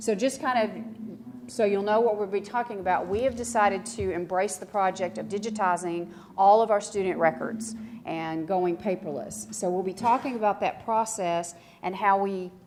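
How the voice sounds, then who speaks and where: Speaking with a Texan accent, a woman talks at a medium pitch and a moderate pace. Her pitch varies in an ordinary way. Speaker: school district records manager. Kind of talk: conference presentation. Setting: conference room with audience. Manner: casual, with many fillers.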